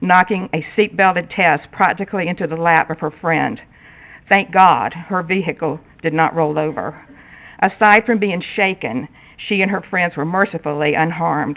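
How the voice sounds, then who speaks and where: The speaker has an ordinary speaking voice with an American accent. Pitch varies in an ordinary way, and the pace is moderate. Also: woman, fairly low pitch for a woman. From North Carolina, Wake County. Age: 60s. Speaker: resident speaking at public hearing. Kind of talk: public comment at council meeting, prepared statement. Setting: town council meeting.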